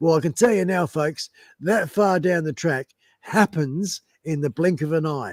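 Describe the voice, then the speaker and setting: With an Australian accent, a man speaks at a fairly high pitch with ordinary variation, in a dry, close sound with no echo on a very clean recording with a silent background. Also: moderate pace. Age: 60s. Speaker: musician and biker, live stream guest. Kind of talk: casual live-stream interview. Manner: halting, many fillers and restarts.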